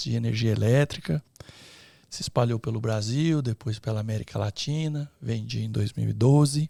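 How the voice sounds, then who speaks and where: On a very clean recording with a silent background, a medium-pitched man with a somewhat breathy, dark, mellow tone speaks at a moderate pace with ordinary pitch variation. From interior of São Paulo state, Brazil. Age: 60s. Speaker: entrepreneur, electrical engineer. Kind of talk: podcast interview. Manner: hesitant fillers.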